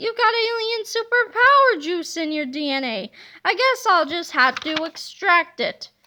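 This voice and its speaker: Putting on a character voice, a woman talks at a moderate pace in an extremely high pitch. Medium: read story. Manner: gloating, maniacal laughter.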